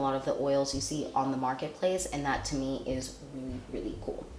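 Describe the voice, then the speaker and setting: This woman's voice is pitched very deep and low. The room adds an audible echo. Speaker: beauty vlogger. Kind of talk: product review. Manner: casual, rambling.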